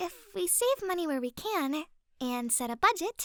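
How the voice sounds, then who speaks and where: A woman does a put-on character voice at an extremely high pitch. It sounds squeaky and moves at a moderate pace. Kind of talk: ASMR roleplay. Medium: solo performance. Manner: soft, intimate, giggly.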